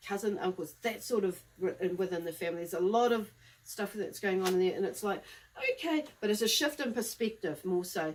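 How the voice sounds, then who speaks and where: A woman with a New Zealand accent at a fairly quick pace. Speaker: psychic medium. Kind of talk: live tarot-style reading monologue. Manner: fast; casual, rambling with fillers.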